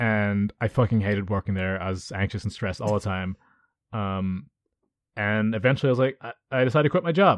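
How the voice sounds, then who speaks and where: A man with a normal speaking voice, fairly low in pitch and fairly quick in pace, with ordinary pitch variation, a dry, close sound with no echo, and a quiet background. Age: 20s. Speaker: slam poet and podcast co-host. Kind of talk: casual chat.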